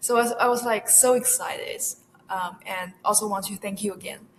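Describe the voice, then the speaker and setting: A woman with a Chinese accent speaks at a fairly high pitch. Her moderate pace comes with monotone, flat intonation. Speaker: university student research assistant. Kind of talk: interview. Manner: halting, many fillers.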